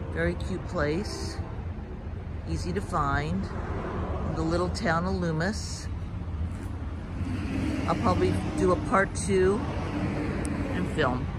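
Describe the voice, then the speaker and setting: Loud background noise accompanies a man speaking at a very slow pace, the sound dry with no echo. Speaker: vlogger. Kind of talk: casual vlog chat. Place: street. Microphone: phone near.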